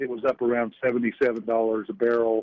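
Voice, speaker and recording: A man speaks with a Southern US accent. His pitch is medium. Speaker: financial strategist. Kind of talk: radio interview.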